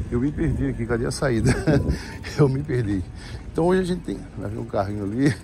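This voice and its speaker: A man talks at a fairly quick pace with very wide pitch swings. The sound is dry with no echo, and there is light background noise. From Brazil. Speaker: vlogger. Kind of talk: casual vlog monologue. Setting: outdoors, riding a bicycle.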